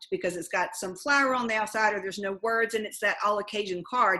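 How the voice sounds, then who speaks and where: Fairly quick, bright, sharp speech from a woman with a Southern US accent and fairly high pitch, over a quiet background. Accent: Southern American. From Southern United States. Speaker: life coach. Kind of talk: interview answer. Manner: fast.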